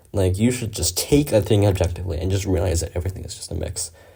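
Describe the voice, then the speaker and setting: Somewhat breathy and dark, mellow in tone, a man talks at a fairly quick pace. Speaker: gaming commentator. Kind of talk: casual monologue. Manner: halting; rambling filler-heavy.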